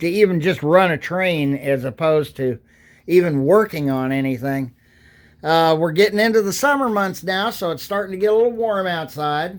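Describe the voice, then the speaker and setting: Ordinary pitch variation is heard in a very clean recording over a silent background. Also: man. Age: 60s. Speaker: hobbyist vlogger. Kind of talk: casual vlog monologue. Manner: halting.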